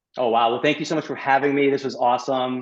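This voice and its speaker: A man speaks with an American accent. His pace is very fast. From New York. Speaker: gut health specialist and chiropractor. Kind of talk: podcast interview.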